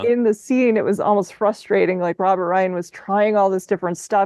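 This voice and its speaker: Against a quiet background, a woman's medium-pitched voice sounds dark and mellow, with fairly even intonation and a dry, close sound with no echo. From Minnesota. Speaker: podcast host. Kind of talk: podcast conversation.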